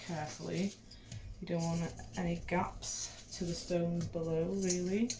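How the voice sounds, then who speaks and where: A woman with a Welsh accent speaks quietly in a fairly low pitch. Noticeable background noise is present. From Wales. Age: young. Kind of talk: casual hobby tutorial talk to camera.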